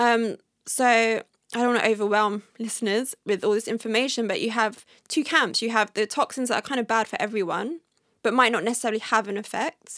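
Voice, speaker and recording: A woman talks at a fairly quick pace and a fairly high pitch with ordinary pitch variation, in a normal speaking voice. The recording is very clean, dry and close, with no echo and a silent background. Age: 30s. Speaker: wellness blogger on toxin-free living. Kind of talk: casual interview chat. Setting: in person.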